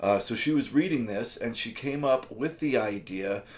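A man's voice shows ordinary pitch variation, with light background noise underneath. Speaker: book reviewer. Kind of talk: casual book review vlog. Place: home room.

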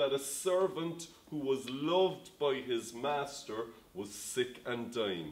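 The speech comes at a very slow pace. Pitch varies in an ordinary way. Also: man. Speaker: pastor. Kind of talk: sermon. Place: home room.

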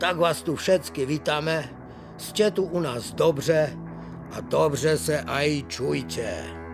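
Music in the background behind a very slow-speaking man. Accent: Ostrava. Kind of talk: planetarium show narration. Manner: folksy, humorous.

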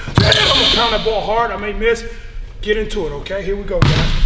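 Loud background noise fills the clip. A man speaks at a fairly quick pace. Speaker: basketball trainer. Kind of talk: tutorial. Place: gym.

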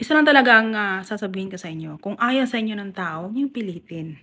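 Lively intonation colors a woman's speech. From Mindanao, Philippines; Philippines. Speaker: YouTuber. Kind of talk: casual vlog commentary. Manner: animated. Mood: exasperated, chiding. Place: home room. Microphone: phone near.

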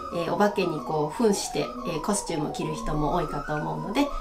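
Noticeable background noise sits behind a woman speaking at a medium pitch. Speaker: English teacher. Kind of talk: casual lesson talk to camera. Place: classroom.

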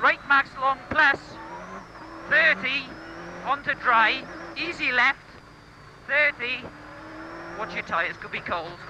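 Long, frequent pauses at a fairly slow pace, a dry sound with no echo, and noticeable background noise. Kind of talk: pace note calls. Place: car. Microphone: headset.

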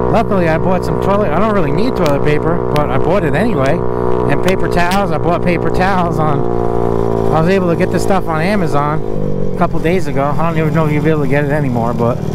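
Very fast speech, dry with no echo, under loud background noise. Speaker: scooter rider vlogger. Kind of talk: casual vlog chat. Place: motorbike. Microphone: helmet.

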